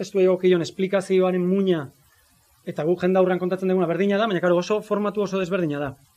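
This man's voice sits high in pitch. His intonation stays fairly even. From Zarautz, Gipuzkoa, Basque Country. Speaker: music teacher and writer. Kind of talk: talk at book presentation. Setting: live event with audience.

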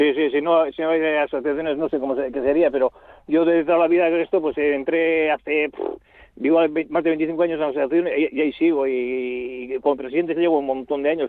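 Fairly even intonation from a man pitched fairly high. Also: fairly quick pace. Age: 60s. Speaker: farm cooperative president and livestock transporter. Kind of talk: interview. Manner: halting.

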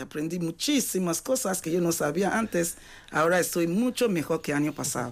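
Her pitch fairly low, a woman speaks with very wide swings in pitch. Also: very clean recording, silent background. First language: not Spanish (speaking Spanish). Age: 40s. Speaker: adult education student. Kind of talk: radio interview.

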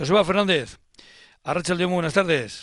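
The background stays quiet while a man delivers his words at a moderate pace. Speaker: radio host. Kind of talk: radio interview. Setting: radio studio.

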